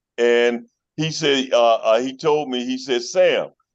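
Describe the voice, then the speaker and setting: Over a quiet background, a man speaks at a medium pitch with an American accent. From Chicago, North Side (Uptown). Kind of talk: casual interview chat. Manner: halting with many fillers.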